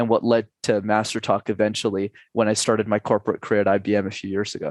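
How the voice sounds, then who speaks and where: Against a quiet background, a man with a fairly low pitch talks at a very fast pace, the sound dry and close with no echo. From Canada, Montreal. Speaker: public speaking coach. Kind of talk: podcast interview.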